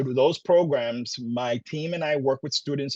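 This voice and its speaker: A man's fairly high voice at a moderate pace, with ordinary pitch variation and a dry, close sound with no echo. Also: quiet background. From Brooklyn, New York (Puerto Rican). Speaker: college program director. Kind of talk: presentation. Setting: virtual session.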